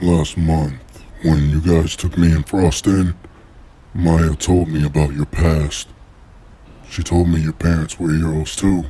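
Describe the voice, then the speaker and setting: Putting on a character voice, a man talks at a fairly slow pace in a very deep, low register with monotone, flat intonation and long, frequent pauses. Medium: machinima. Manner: casual, curious.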